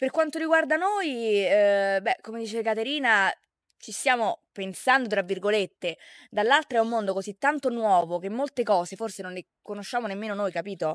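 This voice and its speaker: In a normal speaking voice, a woman with a fairly high pitch talks at a moderate pace with lively intonation and big swings in loudness, recorded very cleanly against a silent background with a dry, close sound and no echo. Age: 20s. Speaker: social media content creator. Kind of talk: casual interview.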